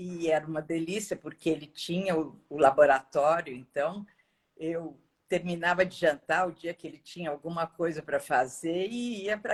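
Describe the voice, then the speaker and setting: A woman with an unremarkable speaking voice talks at a fairly slow pace, fairly low in pitch with ordinary pitch variation. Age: 60s. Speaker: course student. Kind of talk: casual chat.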